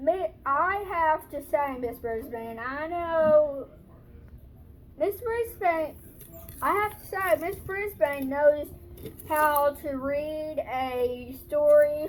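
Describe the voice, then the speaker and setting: A woman speaks in a squeaky, high-pitched put-on character voice at a very slow pace, her loudness swinging widely over clear background noise. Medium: read story.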